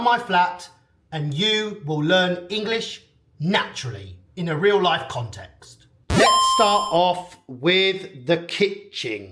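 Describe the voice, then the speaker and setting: With a British accent, a man speaks at a high pitch and a very slow pace, his intonation lively. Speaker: English teacher. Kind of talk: vlog house tour for English learners. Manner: clear, slow.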